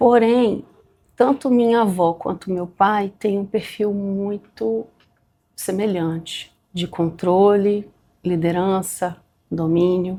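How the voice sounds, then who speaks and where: At a very slow pace, a woman speaks at medium pitch in a dark, mellow tone with ordinary pitch variation. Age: 40s. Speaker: bank employee. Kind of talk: documentary interview.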